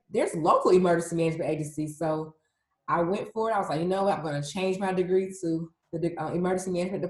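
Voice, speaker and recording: Keeping her intonation fairly even, a woman of medium pitch talks at a very fast pace. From US South, Atlanta, Georgia. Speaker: emergency management specialist. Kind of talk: interview. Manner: casual.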